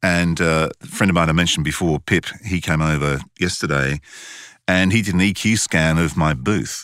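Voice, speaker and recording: A man speaks with a very deep, low pitch and audible vocal fry. His pace is moderate with ordinary pitch variation, in a dry, close sound with no echo. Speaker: voice actor and podcast host. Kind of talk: casual chat.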